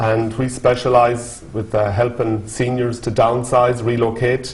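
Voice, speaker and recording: A man with a medium pitch speaks at a fairly slow pace. The recording has noticeable background noise and audible room echo. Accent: western Irish. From Ireland, Galway. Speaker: business owner and auctioneer. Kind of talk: interview.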